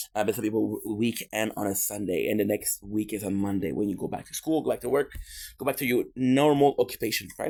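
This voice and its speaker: Fairly quick in pace, a man with a Quebec accent comes through on a very clean recording with a silent background. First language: French. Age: 30s. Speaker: streamer. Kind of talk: casual live stream chat. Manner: halting.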